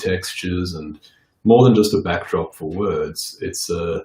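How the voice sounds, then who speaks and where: This man talks at a fairly slow pace in a dark, mellow tone. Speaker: recording artist. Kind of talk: interview. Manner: loud.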